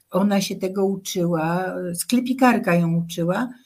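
A woman's somewhat breathy voice moves at a moderate pace, her pitch varying in an ordinary way. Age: 80s+. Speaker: songwriter and social activist. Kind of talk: radio interview.

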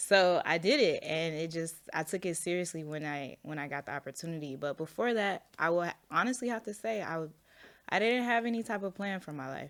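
Fairly quick and lively in intonation, a woman talks in an ordinary speaking voice at a fairly low pitch, in a very clean recording with a silent background. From Florida (Orlando, then small-town Georgia). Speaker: plant shop owner, entrepreneur. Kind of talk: casual interview chat.

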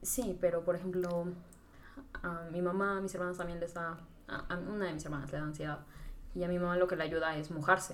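At a fairly quick pace but with long, frequent pauses, a woman speaks in a fairly low pitch. Her intonation is monotone and flat, and there is audible room echo. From Mexico, Tlaxcala. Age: 20s. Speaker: podcast guest, marketing graduate. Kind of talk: casual chat.

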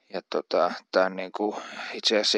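A man speaks at a moderate pace and a fairly low pitch, with monotone, flat intonation. The sound is dry and close with no echo. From Central Finland (Uurainen, near Jyväskylä). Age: 30s. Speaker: aspiring politician. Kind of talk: personal monologue. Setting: outdoors in yard. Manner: halting, many fillers.

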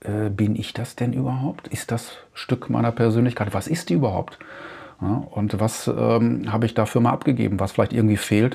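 Using fairly even intonation, a man speaks at a medium pitch and a moderate pace. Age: 50s. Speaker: podcast host. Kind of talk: solo monologue. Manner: halting, with frequent fillers.

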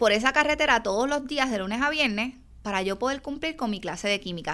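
Bright and sharp, a woman's high voice carries an animated tone and lively intonation, with a Puerto Rican accent. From Puerto Rico, Yabucoa. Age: 40s. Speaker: chiropractor and business coach. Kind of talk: solo podcast monologue.

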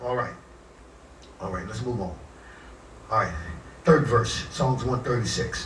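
A man at a very slow pace, with long, frequent pauses and noticeable background noise. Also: medium pitch for a man, ordinary pitch variation. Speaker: pastor. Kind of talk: sermon. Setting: church. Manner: punctuates nearly every phrase with 'amen' and 'praise God'; call-and-response preaching, restating scripture with rising fervor.

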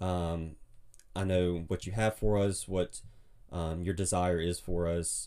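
A man with an Alabama accent talks at a very slow pace in a very deep, low pitch, with a dark, mellow tone and fairly even intonation, on a very clean recording with a silent background. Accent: Southern US (Alabama). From US South, Mobile, Alabama. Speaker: podcast guest, brother-in-law of host. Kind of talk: casual chat. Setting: home closet as recording studio.

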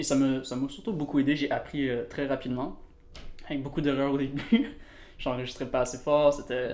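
A man talks with ordinary pitch variation and long, frequent pauses. The room echo is audible. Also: fairly high pitch for a man, moderate pace. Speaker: musician. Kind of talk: casual chat.

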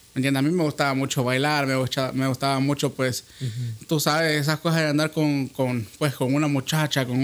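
This man has an ordinary speaking voice, pitched fairly high, with fairly even intonation. He talks at a fairly quick pace and his loudness stays very even. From Honduras. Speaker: podcast host. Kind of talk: casual chat.

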